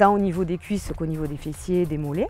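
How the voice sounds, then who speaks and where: A woman talks at a very fast pace in a fairly low pitch with ordinary pitch variation. Music plays in the background. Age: 40s. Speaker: fitness instructor. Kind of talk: interview testimony. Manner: hesitant, frequent filler sounds.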